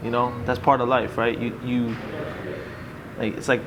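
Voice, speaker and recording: Fairly quick speech from a man with an American accent, amid noticeable background noise and audible room echo. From US Northeast, North Jersey. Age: 30s. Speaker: boxer. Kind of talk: casual interview.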